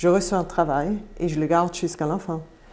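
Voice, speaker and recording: This woman's voice has a dark, mellow tone and a fairly low pitch. She talks at a fairly slow pace with fairly even intonation. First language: Swiss German (speaking French). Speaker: campaign representative. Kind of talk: live panel debate. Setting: studio.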